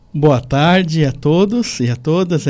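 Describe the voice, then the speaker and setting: Dark and mellow, this man's voice sits fairly high. He moves at a very slow pace. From southern Santa Catarina, Brazil. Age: 40s. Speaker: pastoral trainee, former bank worker. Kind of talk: radio interview.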